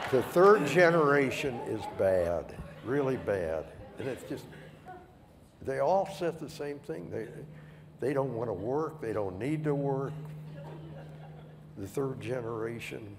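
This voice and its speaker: A man at a fairly slow pace, with very wide pitch swings and long, frequent pauses, amid noticeable background noise and audible room echo. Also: medium pitch for a man. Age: 80s+. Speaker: retired company founder. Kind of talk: panel interview.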